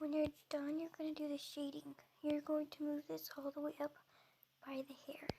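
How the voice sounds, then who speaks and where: A dark, mellow voice speaks at a moderate pace in a monotone, flat intonation, with long, frequent pauses. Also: woman, high pitch for a woman. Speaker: video tutorial creator. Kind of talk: tutorial. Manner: halting.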